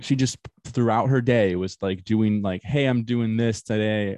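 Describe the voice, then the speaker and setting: At a moderate pace, a man with a normal speaking voice talks at a fairly low pitch. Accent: American. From Florida. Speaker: podcast host. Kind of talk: casual chat.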